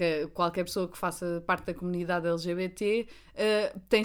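A woman with a European Portuguese accent talks at a moderate pace with fairly even intonation. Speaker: podcast co-host. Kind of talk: casual chat.

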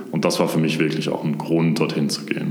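There is noticeable background noise and audible room echo as a man with a very deep, low voice talks at a fairly quick pace. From Swabia, near Stuttgart. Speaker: brand manager at a software startup. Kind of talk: interview.

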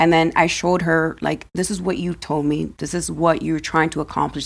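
A woman with an ordinary speaking voice, fairly low in pitch, at a fairly quick pace with hardly any pauses and fairly even intonation, on a very clean recording with a silent background. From Dominican Republic, raised in US. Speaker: life insurance broker. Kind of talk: interview.

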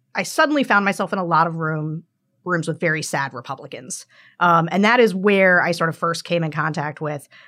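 Bright and sharp in tone, a woman with an American accent speaks in a fairly low pitch with lively intonation. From central Pennsylvania, rural. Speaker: political strategist. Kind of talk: interview conversation.

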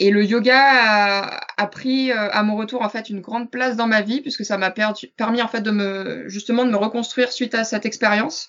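In a plain, everyday voice, a woman with a fairly high pitch speaks at a moderate pace with fairly even intonation. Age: 20s. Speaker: yoga teacher. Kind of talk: interview.

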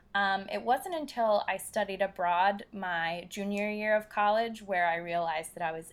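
A woman with a plain, everyday voice talks at medium pitch and a moderate pace, with ordinary pitch variation. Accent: American. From US Northeast, Philadelphia. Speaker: travel blogger. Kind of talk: casual interview.

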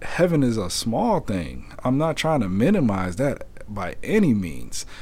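A man's dark, mellow voice sits at a medium pitch and moves through very wide pitch swings. He speaks at a fairly slow pace with audible room echo. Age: 30s. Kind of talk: personal testimony monologue. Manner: halting, many fillers.

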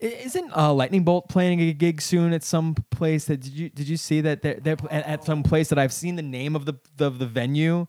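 An unremarkable speaking voice with an American accent moves at a moderate pace with hardly any pauses. Pitch variation is ordinary. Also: man, fairly high pitch for a man. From Brooklyn, New York. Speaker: musician. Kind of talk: casual interview chat.

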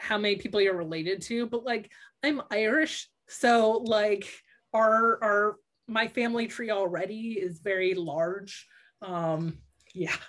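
A woman talks in a normal speaking voice at a medium pitch. Her pace is fairly slow, with ordinary pitch variation. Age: 30s. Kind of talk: podcast interview. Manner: many fillers (um, like).

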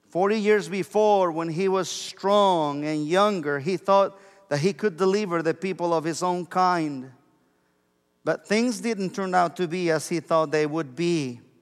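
Speaking at a fairly slow pace with a Mexican accent, a man uses a high pitch and ordinary pitch variation. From Mexico. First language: Spanish. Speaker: pastor. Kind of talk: sermon. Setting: church.

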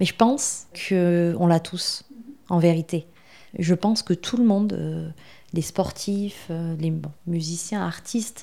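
A woman's fairly low, dark, mellow voice moves at a very slow pace with ordinary pitch variation. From southwest France. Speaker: marketing agency founder. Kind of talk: podcast interview. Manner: hesitant, with frequent filler sounds.

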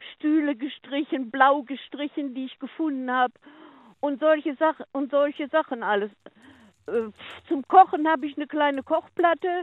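A woman speaks at a high pitch and a moderate pace. Her pitch varies in an ordinary way. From Ruhr area, Germany (Oberhausen). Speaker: caller. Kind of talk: casual chat. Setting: phone call.

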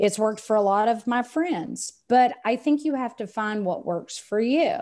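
Lively intonation and a dark, mellow tone mark this voice with a Texan accent, delivered at a fairly slow pace in a very clean recording with a silent background. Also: woman, fairly high pitch for a woman. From Texas. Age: 50s. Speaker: sales coach and business owner. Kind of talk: casual interview chat.

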